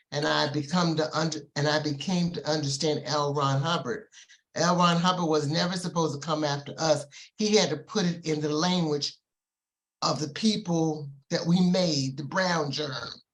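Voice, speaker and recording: Speaking at a moderate pace, a somewhat breathy voice keeps its intonation fairly even. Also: woman, very deep, low pitch for a woman. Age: 70s. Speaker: study group participant. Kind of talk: testimony. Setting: video call.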